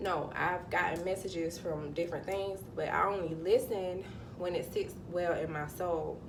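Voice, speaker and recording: Someone with a Southern US accent speaks at a moderate pace, with noticeable background noise and audible room echo. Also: woman, fairly low pitch for a woman. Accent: Southern US (Georgia). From US South, Georgia. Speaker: spiritual vlogger. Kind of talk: casual vlog monologue. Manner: animated; halting, self-correcting.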